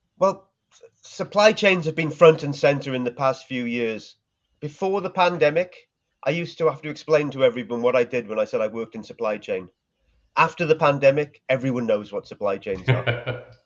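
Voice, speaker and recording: With a Welsh accent, a man talks at a fairly quick pace in a fairly high voice, his intonation lively and his loudness swinging widely. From Wales. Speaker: supply chain marketing executive. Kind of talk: interview.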